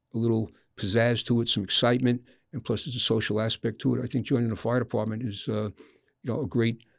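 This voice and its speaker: This man talks very fast with vocal fry and fairly even intonation. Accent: American. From Long Island, New York. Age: 70s. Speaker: volunteer firefighter. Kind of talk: interview.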